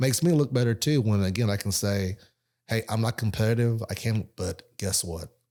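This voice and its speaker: This voice has a dark, mellow tone, a moderate pace and ordinary pitch variation. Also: man, medium pitch for a man, very clean recording, silent background. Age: 50s. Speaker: independent insurance agent. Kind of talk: casual chat.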